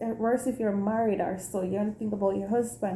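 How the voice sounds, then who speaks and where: A woman with a Jamaican accent speaks at a fairly high pitch. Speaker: teacher and vlogger. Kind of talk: casual vlog. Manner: animated.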